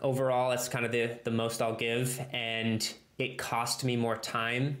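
A man talks at a moderate pace and medium pitch. Audible room echo can be heard. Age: 30s. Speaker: structural engineer; guest. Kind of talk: casual interview. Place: home room. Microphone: earbuds.

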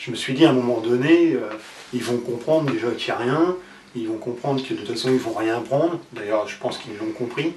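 A man talks with ordinary pitch variation over light background noise, and audible room echo surrounds his voice. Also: fairly quick pace. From France. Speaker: former poker player; interviewee. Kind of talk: interview. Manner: halting. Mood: reflective, somewhat rueful.

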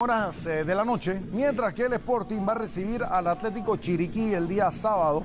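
A man speaks at a high pitch and a moderate pace, with ordinary pitch variation. His loudness stays very even, and he barely pauses. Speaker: co-commentator analyst. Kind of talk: live football commentary. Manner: measured, analytical, sometimes halting.

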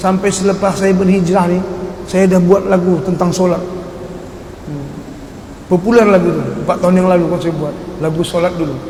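A high-pitched man speaks in a monotone, flat way at a moderate pace with long, frequent pauses, over noticeable background noise and audible room echo. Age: 50s. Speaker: dangdut singer. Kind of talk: religious testimony talk.

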